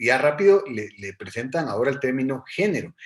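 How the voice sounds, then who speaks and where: A male speaker is heard. His voice falls at a medium pitch. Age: 40s. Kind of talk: online workshop talk.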